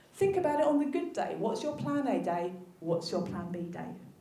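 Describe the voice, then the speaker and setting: Amid noticeable background noise and audible room echo, a woman with a South London accent talks at a moderate pace. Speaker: physiotherapist. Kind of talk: conference talk.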